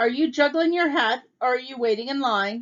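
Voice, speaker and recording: A put-on character voice comes through gruff, raised and projected. The pace is moderate. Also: woman. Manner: impatient, brusque.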